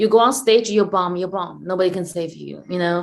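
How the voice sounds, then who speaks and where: This speaker talks with a Chinese accent. The pitch moves with ordinary variation. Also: woman. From China. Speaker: stand-up comedian and comedy club owner. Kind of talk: interview. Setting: video call.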